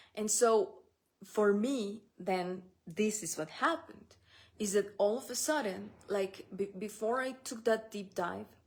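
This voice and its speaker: The speaker uses a Spanish accent, going at a fairly slow pace with ordinary pitch variation. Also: woman, fairly high pitch for a woman. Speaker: spiritual business coach. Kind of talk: solo podcast talk. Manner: halting, with restarts and fillers.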